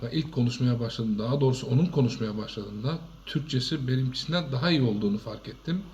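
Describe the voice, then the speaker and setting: Moving at a fairly quick pace, a man speaks at a medium pitch in a dark, mellow, somewhat breathy tone with ordinary pitch variation. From Turkey. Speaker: shop owner. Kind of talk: testimony.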